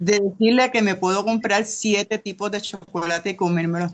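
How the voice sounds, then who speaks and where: A woman's ordinary speaking voice at a fairly quick pace, with ordinary pitch variation. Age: 60s. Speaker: class participant. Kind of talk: testimony.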